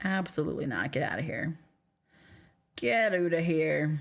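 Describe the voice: Doing a put-on character voice in a Canadian accent, a woman speaks at a moderate pace with a raspy, very deep, low pitch.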